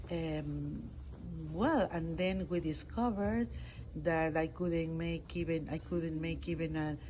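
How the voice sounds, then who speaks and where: This woman talks at a fairly slow pace with a Peruvian accent. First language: Spanish. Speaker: international court judge. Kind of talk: interview. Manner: halting.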